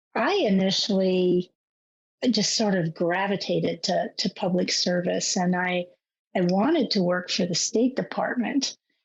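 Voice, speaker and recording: Somewhat breathy and at medium pitch, a woman speaks at a fairly slow pace. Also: ordinary pitch variation, very even loudness. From overseas, various countries (Army family). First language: French. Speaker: government security chief. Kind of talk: interview. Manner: halting, many repetitions.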